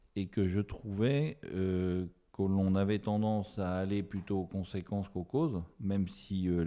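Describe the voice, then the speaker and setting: A man's very deep, low voice with a dark, mellow tone at a fairly slow pace. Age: 60s. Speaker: osteopath. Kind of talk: interview. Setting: podcast interview. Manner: hesitant, many fillers.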